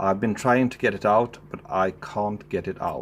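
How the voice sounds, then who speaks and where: Very slowly, a man with a Swedish accent speaks at a fairly low pitch with ordinary pitch variation. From Sweden. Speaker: amateur car mechanic, video creator. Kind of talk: DIY tutorial. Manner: casual, thinking aloud.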